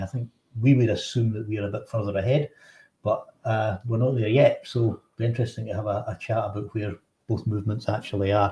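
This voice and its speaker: Speaking at a fairly quick pace, a man with a Scottish accent has a fairly low pitch, a dark, mellow tone, a somewhat breathy voice and fairly even intonation. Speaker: politician and show host. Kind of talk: political talk show discussion. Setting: livestream from Westminster.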